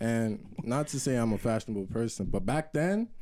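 A man with a New York accent speaks in a dark, mellow tone at medium pitch with ordinary pitch variation. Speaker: podcast co-host. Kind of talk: casual chat.

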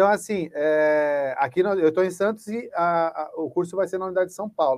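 A man speaks at a moderate pace in a high pitch with ordinary pitch variation. The recording is very clean, with a silent background. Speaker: educator and training school director. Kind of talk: panel discussion.

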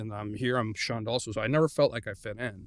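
In a very clean recording with a silent background, a man with an American accent speaks at a fairly quick pace, his medium-pitched voice showing vocal fry. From Mexico (Guadalajara) and California. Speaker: engineer. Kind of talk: interview, personal testimony.

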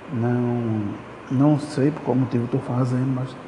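Amid noticeable background noise and audible room echo, a man speaks at a medium pitch in a monotone, flat intonation. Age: 20s. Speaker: podcaster. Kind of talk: casual monologue. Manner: halting.

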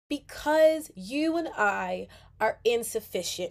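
A woman speaks in a high voice with an excited, warm tone. Her pitch swings very widely. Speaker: podcast host. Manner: excited, warm, earnest; fervent, animated, urgent, preaching-like tone.

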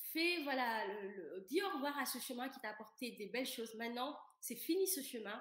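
A woman's high-pitched voice, lively in intonation, at a moderate pace with audible room echo. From Senegal. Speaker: coach on vaginismus. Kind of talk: casual interview chat.

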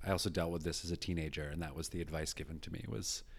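Here a man speaks at a very deep, low pitch. His pitch varies in an ordinary way. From rural British Columbia, Canada. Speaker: performer and comedy writer. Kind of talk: casual chat.

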